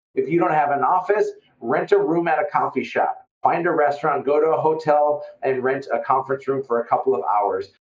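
Man with an Upper Midwest US accent, fairly quick pace, hardly any pauses and very even loudness. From Fargo, North Dakota. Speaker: real estate investor and business owner.

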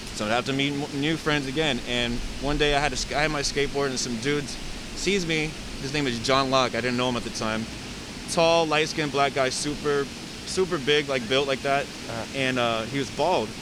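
A man with an American accent, fairly high pitch, fairly even intonation and a fairly quick pace, with noticeable background noise and audible room echo. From US West Coast, San Diego. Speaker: photographer. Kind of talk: casual interview.

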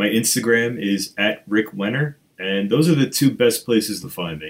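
A man with a fairly low pitch and a slightly husky edge speaks at a moderate pace with ordinary pitch variation.

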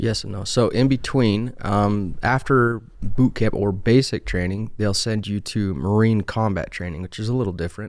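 The speaker is a man with a Utah accent, fairly low in pitch with ordinary pitch variation. He goes at a moderate pace with hardly any pauses, and the recording is very clean, with a silent background. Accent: Utah American. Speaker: HVAC technician, Marine veteran. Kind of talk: casual interview.

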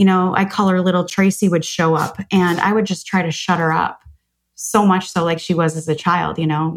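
A woman speaks with an American accent. Her intonation is monotone and flat, and her pitch is fairly low. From US Midwest, Chicago. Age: 40s. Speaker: author and business coach. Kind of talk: podcast interview.

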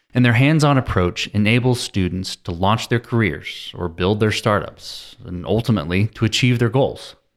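This is an ordinary speaking voice at a moderate pace. It has ordinary pitch variation and hardly any pauses. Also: man, medium pitch for a man. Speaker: podcast host. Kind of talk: interview.

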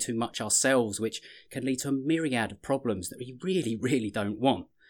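A man's medium-pitched voice, very fast and lively in intonation, on a very clean recording with a silent background. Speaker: podcast host and business coach. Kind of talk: interview.

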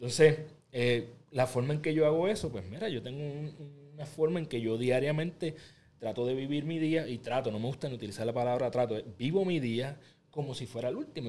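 Dark, mellow tone from a man at medium pitch, fairly quick in pace, with ordinary pitch variation. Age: 30s. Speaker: podcaster and motivational creator. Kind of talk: interview.

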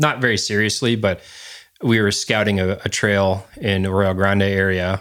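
On a very clean recording with a silent background, a man uses a normal speaking voice at a moderate pace, with a fairly low pitch, fairly even intonation and very even loudness. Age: 30s. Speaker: outdoorsman and dog trainer. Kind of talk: casual chat.

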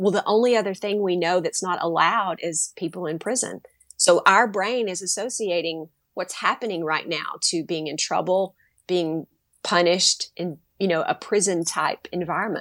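An ordinary speaking voice with ordinary pitch variation moves at a moderate pace in a very clean recording with a silent background. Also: woman, medium pitch for a woman. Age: 50s. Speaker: teacher and educator. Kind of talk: casual interview.

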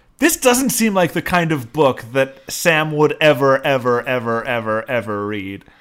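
A man with a plain, everyday voice and fairly high pitch speaks at a fairly slow pace with hardly any pauses. The recording is very clean, with a silent background. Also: lively intonation. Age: 30s. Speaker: podcast co-host. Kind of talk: casual chat.

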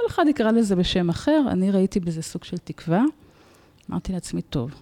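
A woman talks at a moderate pace in a dark, mellow tone. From Israel, Tel Aviv. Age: 40s. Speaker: nonprofit founder and former therapist. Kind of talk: personal testimony in interview.

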